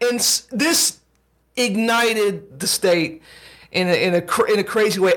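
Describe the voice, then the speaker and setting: A man speaks with ordinary pitch variation. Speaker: podcast co-host. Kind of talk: casual conversation.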